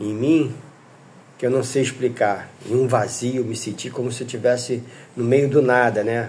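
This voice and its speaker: A man with a medium-pitched, somewhat breathy voice talks at a fairly slow pace, with audible echo from the room. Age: 60s. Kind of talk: testimony. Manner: halting.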